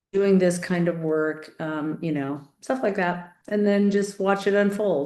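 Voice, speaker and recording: Audible room echo surrounds a woman speaking at a moderate pace. Her voice has a medium pitch, a dark, mellow tone and fairly even intonation. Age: 50s. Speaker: nurse and interviewer. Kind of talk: interview chat.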